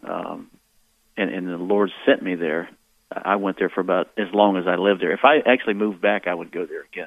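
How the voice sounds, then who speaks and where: With an American accent, a man talks at a fairly quick pace in a very deep, low voice, his intonation fairly even. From US South. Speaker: radio caller. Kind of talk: call-in conversation. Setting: phone call.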